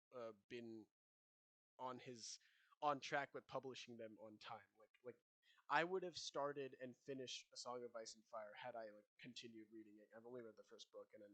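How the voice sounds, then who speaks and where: A man with a medium pitch and a bright, sharp tone, at a moderate pace, with ordinary pitch variation, big swings in loudness, and a dry, close sound with no echo. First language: not English. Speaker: podcast co-host. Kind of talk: casual chat.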